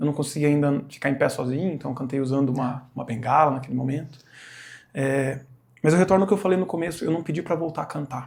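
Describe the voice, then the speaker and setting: Fairly quick, somewhat breathy speech from a man, fairly high in pitch with ordinary pitch variation. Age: 40s. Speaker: church singer sharing testimony. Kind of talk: testimony.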